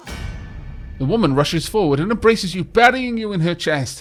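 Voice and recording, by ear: Here a text is read aloud in a natural voice. Its intonation is lively.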